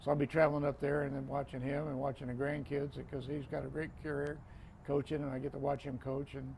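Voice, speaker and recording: In an American accent, a man with a fairly high pitch and vocal fry races along at a very fast pace, his intonation monotone and flat. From Florida, US. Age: 60s. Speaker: retired football referee. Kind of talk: casual interview conversation.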